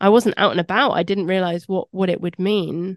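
A woman speaks with a southern English accent. The sound is dry and close with no echo, and the background is quiet. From London. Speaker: podcast host. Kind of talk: interview.

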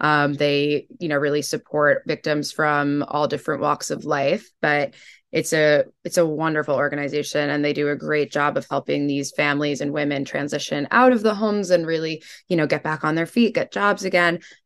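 Against a quiet background, a woman speaks at a moderate pace in a very deep, low voice with ordinary pitch variation. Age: 20s. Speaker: fashion editor. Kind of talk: interview.

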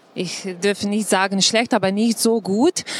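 A woman with a Slovenian accent speaks with fairly even intonation over noticeable background noise. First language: Slovenian (speaking German). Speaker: tourism official. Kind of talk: panel talk. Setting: live audience at trade fair. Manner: halting.

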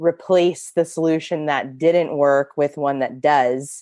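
In a quiet background, a woman talks at a very slow pace with a very deep, low pitch and monotone, flat intonation. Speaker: guest, AA sponsor and Instagram account host. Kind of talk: casual interview chat.

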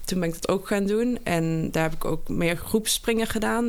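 A woman talks at a moderate pace with a Limburg accent. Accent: Limburg accent, soft G. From Limburg, Geleen. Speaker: triathlete. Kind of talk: interview.

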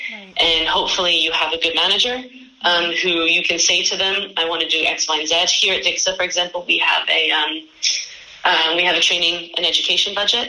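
Over noticeable background noise, a woman with a fairly low pitch speaks at a fairly quick pace, keeping her intonation fairly even. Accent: New York. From US, New York. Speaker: head of marketing. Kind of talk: interview.

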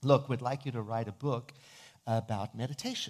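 The recording is very clean, with a silent background. A man speaks at medium pitch, somewhat breathy, with ordinary pitch variation. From South Africa. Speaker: minister and author. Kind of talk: sermon.

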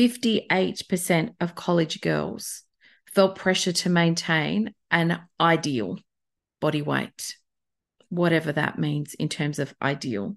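Over a quiet background, a woman with an Australian accent speaks very slowly in a fairly low voice with vocal fry and lively intonation. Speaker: podcast host and beauty workshop facilitator. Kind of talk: solo podcast monologue. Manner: informal, conversational.

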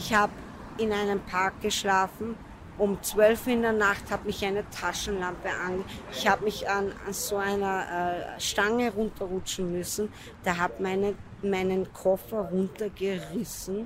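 Monotone, flat intonation at a fairly slow pace, against noticeable background noise. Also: woman, medium pitch for a woman. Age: 20s. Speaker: homeless drug user. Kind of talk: interview.

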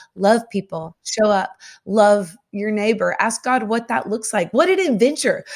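Speaking fairly slowly in a Southern US accent, a woman uses lively intonation. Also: fairly high pitch for a woman. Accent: Southern American. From US South. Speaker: singer-songwriter and author. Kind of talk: faith podcast interview.

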